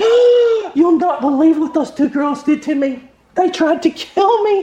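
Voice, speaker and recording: A man puts on a squeaky character voice at an extremely high pitch. He keeps a moderate pace. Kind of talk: posh.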